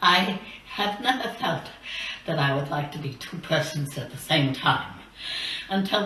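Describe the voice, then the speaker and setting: A woman speaks at a fairly slow pace in a very deep, low voice. There is audible room echo and light background noise. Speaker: campaign finance reformer. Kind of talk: recorded address to a legislature. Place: studio.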